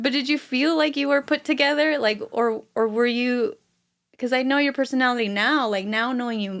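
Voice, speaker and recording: In a very clean recording with a silent background, a woman talks loud and fairly quick, with a high pitch, an animated tone and ordinary pitch variation. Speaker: veteran's partner. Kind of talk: interview.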